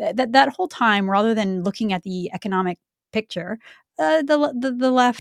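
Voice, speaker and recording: A woman has an unremarkable speaking voice, lively intonation and a Canadian accent. The recording is very clean with a silent background and a dry, close sound with no echo. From Canada, Vancouver. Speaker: political commentary show co-host. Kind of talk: casual political chat.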